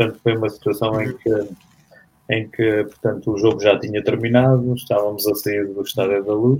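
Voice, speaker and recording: Monotone, flat intonation from a man with a fairly low pitch. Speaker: former roller hockey player. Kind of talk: interview. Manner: halting.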